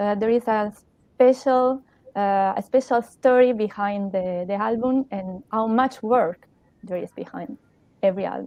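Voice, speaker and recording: Here is a woman with an Italian accent. She talks at a fairly slow pace with a fairly high pitch. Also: ordinary pitch variation. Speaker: radio co-host. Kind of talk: interview. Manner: halting.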